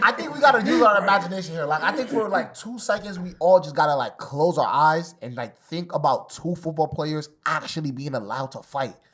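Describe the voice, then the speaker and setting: The speaker has a New York accent and a fairly quick pace. There are hardly any pauses. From New York City (Bronx). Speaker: debate show panelist. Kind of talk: casual debate. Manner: halting, repetitive.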